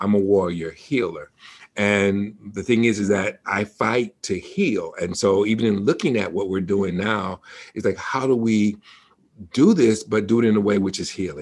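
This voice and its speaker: A man with a fairly low pitch speaks at a moderate pace in a normal speaking voice. His pitch varies in an ordinary way. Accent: American. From Detroit, Michigan. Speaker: seminary president and minister. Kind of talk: interview conversation.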